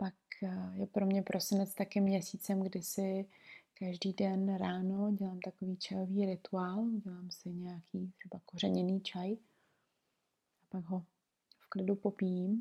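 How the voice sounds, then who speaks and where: Calm, somewhat breathy speech from a woman, dark and mellow in tone, monotone and flat, at a fairly slow pace. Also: medium pitch for a woman, big swings in loudness. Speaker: podcast host, aromatherapist and herbalist. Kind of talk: reflective solo monologue. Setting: recording at home in bed. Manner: very slow.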